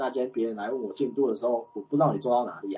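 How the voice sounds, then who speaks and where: A man at a medium pitch uses an ordinary speaking voice with ordinary pitch variation. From Taiwan, Chiayi. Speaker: guest, manager. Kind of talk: casual chat.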